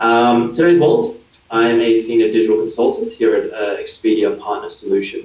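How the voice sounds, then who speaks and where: A man talks with an Australian accent. His pace is fairly quick. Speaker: digital marketing consultant. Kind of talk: interview. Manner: hesitant, many fillers.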